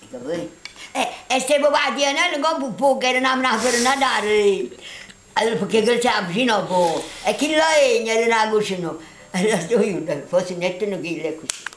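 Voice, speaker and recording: A woman speaks with a Neapolitan accent at a fairly high pitch, her pitch swinging very widely and broken by long, frequent pauses. Audible room echo and noticeable background noise surround her. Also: moderate pace. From Naples, southern Italy. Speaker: grandmother. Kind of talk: storytelling.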